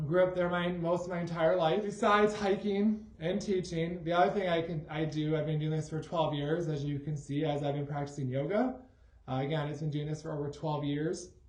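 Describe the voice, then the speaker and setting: In an American accent, a man with a fairly high pitch and ordinary pitch variation speaks at a fairly quick pace, with audible room echo. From Michigan, Grand Rapids. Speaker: high school math teacher. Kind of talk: casual self-introduction video.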